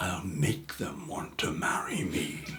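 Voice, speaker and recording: Growling in a put-on character voice, a man speaks fairly slowly at a very deep, low pitch, with audible echo. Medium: read story.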